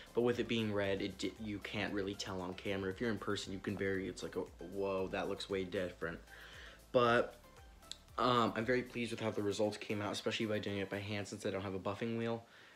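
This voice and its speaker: Over faint background music, a man rattles along at a very fast pace in a monotone, flat intonation. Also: fairly low pitch for a man. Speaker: vlogger fixing up a truck. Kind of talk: casual vlog chat. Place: home room. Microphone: phone near.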